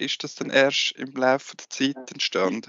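In a plain, everyday voice, a man with a fairly high pitch speaks at a moderate pace with fairly even intonation. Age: 30s. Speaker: sports journalist, co-host. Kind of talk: casual interview.

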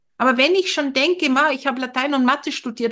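A woman's high-pitched, raised and projected voice, bright and sharp in tone, with ordinary pitch variation at a moderate pace. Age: 50s. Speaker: family counsellor and former teacher. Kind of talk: casual chat.

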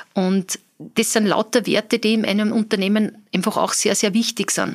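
Her intonation is monotone and flat. The woman keeps a medium pitch and a moderate pace. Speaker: business owner. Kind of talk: interview.

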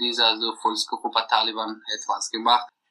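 A man speaks against a quiet background. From Afghanistan. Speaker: deported refugee. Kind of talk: interview testimony. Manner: halting, many hesitations.

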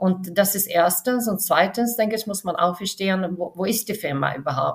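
Speaking with a Swedish accent, a woman with a medium pitch sounds somewhat breathy, her pitch varying in an ordinary way. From Sweden, west coast near Gothenburg. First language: Swedish (speaking German). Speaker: film studio finance executive. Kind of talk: interview. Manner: halting, many fillers.

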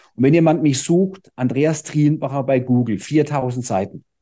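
Of medium pitch, a man's dark, mellow tone carries ordinary pitch variation. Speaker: fitness trainer and speaker. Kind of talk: podcast interview. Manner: calm.

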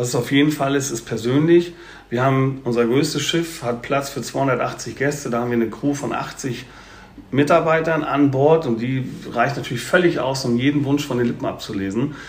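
At a moderate pace, a man with fairly high pitch and fairly even intonation talks amid noticeable background noise and audible room echo. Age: 50s. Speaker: cruise company sales representative. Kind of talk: podcast interview.

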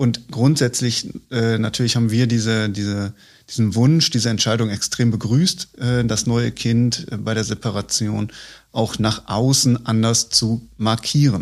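A man uses a plain, everyday voice with fairly even intonation at a fairly slow pace. The recording is very clean, with a silent background. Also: medium pitch for a man. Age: 30s. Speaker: head of corporate communications and marketing. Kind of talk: casual interview conversation. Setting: studio, at a table. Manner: frequent fillers.

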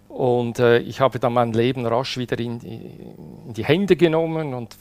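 The man's pitch sits at a medium level and varies in an ordinary way. His pace is moderate. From Switzerland. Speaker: widower telling his love story. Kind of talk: personal testimony interview. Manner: halting, with many fillers and repetitions.

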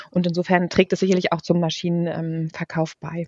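A woman speaks at a very fast pace and a fairly low pitch. The sound is dry and close, with no echo. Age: 40s. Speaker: head of a corporate digital innovation unit. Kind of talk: interview.

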